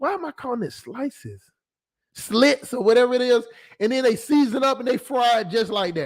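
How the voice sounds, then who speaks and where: A man talks loudly and fairly quickly with a Southern US accent, his pitch extremely high. His tone is animated, with ordinary pitch variation. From US South. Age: 20s. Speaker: YouTube commentator. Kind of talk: livestream commentary reading chat comments.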